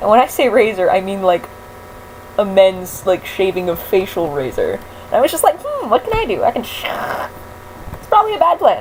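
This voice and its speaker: Over noticeable background noise, a woman talks at a fairly quick pace, broken by long, frequent pauses. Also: big swings in loudness. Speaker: vlogger and voice actor. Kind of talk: casual vlog. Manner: rambling, hesitant with many fillers.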